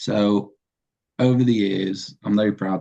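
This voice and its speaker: With a Yorkshire accent, a man talks in a fairly low pitch with ordinary pitch variation. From northern England, Sheffield. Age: 30s. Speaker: web developer. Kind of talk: presentation.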